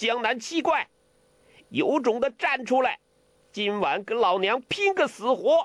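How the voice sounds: A man's put-on character voice, extremely high-pitched and fairly bright in tone, with big pitch swings and a fairly slow pace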